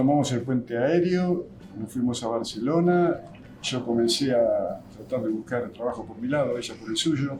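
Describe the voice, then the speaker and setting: Audible room echo surrounds a man speaking at a moderate pace in medium pitch with ordinary pitch variation. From Argentina, Buenos Aires province (Lincoln). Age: 70s. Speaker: physical trainer. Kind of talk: interview testimony.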